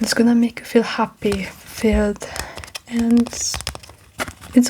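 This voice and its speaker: Soft-spoken and very slow, a woman talks with a fairly high pitch. Noticeable background noise sits behind her. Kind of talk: ASMR comfort talk.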